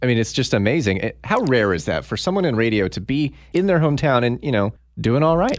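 With a normal speaking voice, a man talks at a fairly quick pace using lively intonation. The recording is very clean, with a silent background. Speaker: radio news anchor. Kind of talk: casual on-air chat with his father. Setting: radio studio broadcast.

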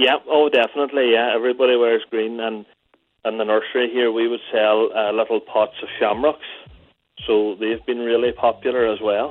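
In a Donegal accent, a man of medium pitch speaks at a moderate pace with monotone, flat intonation. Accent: Donegal Irish. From Ireland, County Donegal. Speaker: garden centre owner. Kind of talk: phone interview.

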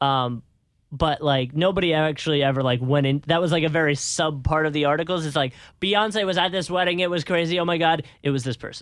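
A man with an American accent speaks in a normal speaking voice, fairly high-pitched for a man, with ordinary pitch variation at a fairly quick pace. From northern US. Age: 20s. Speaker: podcast host. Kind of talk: casual chat.

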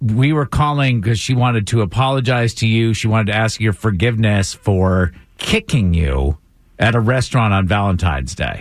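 A man with a plain, everyday voice, fairly low in pitch, speaks at a moderate pace with lively intonation and very even loudness. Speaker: radio host. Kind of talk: radio DJ patter, bantering morning-show chat.

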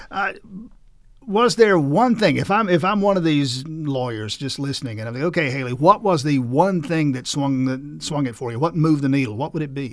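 This man has an unremarkable speaking voice with a fairly high pitch. He talks at a fairly quick pace with lively intonation. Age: 60s. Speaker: radio host. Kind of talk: radio interview.

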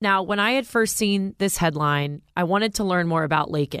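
A woman with an unremarkable speaking voice and a fairly low pitch talks at a moderate pace on a very clean recording with a silent background. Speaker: radio co-host, fashion commentator. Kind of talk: casual chat. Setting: studio.

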